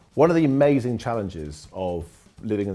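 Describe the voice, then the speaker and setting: Enthusiastic speech with lively intonation plays over music in the background. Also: man. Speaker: training company founder. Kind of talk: corporate interview answer.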